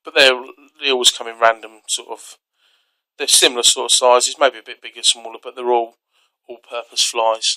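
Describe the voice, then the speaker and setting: A man with a British accent talks at a fairly quick pace and medium pitch, his tone bright and sharp, his intonation monotone and flat, with big swings in loudness in a dry, close sound with no echo. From UK. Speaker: outdoor gear reviewer. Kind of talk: tutorial. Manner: casual, hesitant with fillers.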